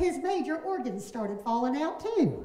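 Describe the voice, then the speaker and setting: A woman's animated tone with very wide pitch swings, over noticeable background noise. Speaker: professional storyteller. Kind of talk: live storytelling performance of a ghost tale. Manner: folksy, animated, humorous.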